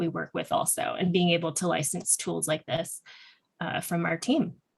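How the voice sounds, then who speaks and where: In an ordinary speaking voice, a woman talks at a fairly quick pace with fairly even intonation. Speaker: nonprofit founder presenting employment program. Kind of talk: panel presentation.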